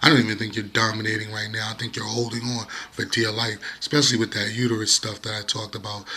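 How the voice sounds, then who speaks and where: Very fast speech over noticeable background noise. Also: man. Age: 30s. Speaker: YouTuber. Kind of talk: casual monologue vlog. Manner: animated.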